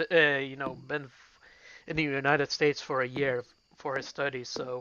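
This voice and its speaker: A man with a Dutch accent talks at a moderate pace in a fairly high voice. His intonation is monotone and flat, with big swings in loudness. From Belgium. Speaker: gaming streamer. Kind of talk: casual chat while gaming.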